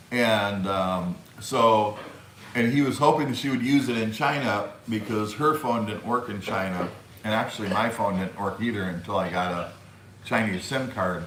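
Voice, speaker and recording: A man with an American accent speaks at a fairly slow pace in a medium pitch with ordinary pitch variation, amid noticeable background noise and audible room echo. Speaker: YouTube live streamer. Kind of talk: live stream chat. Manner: halting, many fillers.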